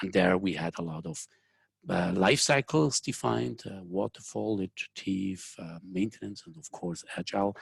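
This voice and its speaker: Speaking at a moderate pace with a Swiss accent, this voice has lively intonation and big swings in loudness. The sound is dry and close with no echo, over a quiet background. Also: man. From Switzerland. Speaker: software engineering consultant and company founder. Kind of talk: webinar presentation. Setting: online webinar, remote from Zurich.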